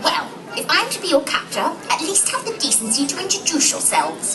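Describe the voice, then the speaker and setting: Someone performs a put-on character voice at a fairly quick pace. Loud background noise is present. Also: woman, extremely high pitch for a woman. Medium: stage play. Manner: indignant, prim.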